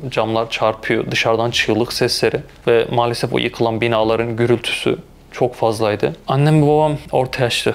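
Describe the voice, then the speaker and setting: With noticeable background noise behind him, a man of medium pitch speaks at a moderate pace with fairly even intonation. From Turkey, Malatya. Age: 20s. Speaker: intensive care nurse. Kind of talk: interview testimony.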